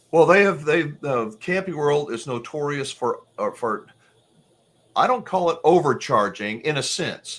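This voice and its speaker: A man with a normal speaking voice and a fairly high pitch talks at a fairly slow pace with lively intonation. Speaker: RV channel host interviewer. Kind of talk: interview host questions and commentary.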